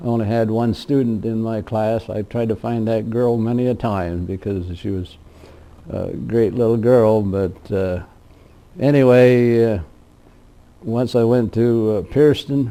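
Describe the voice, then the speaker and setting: A man with a Midwestern US accent, medium pitch and fairly even intonation, at a fairly slow pace. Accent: rural Midwestern American. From Indiana, US Midwest. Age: 80s+. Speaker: retired county official recalling farm life. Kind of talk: oral history interview. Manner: halting, many fillers.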